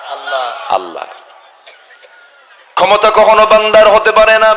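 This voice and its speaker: A man with a high voice speaks in a raised, projected voice over noticeable background noise. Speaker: Islamic preacher. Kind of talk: religious sermon to a live audience.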